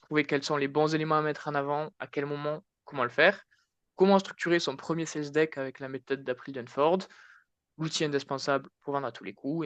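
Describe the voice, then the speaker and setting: The speaker has a southwestern French accent. The sound is dry and close with no echo, and the background is quiet. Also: man. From southwest France, Tarn. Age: 20s. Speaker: marketing consultant, conference speaker. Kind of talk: conference talk. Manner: casual, hesitant with many fillers.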